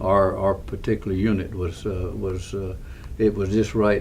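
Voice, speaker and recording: A man talks at a moderate pace with a Texan accent. His pitch is fairly low and his intonation fairly even. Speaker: war veteran. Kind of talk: interview answer. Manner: hesitant, halting.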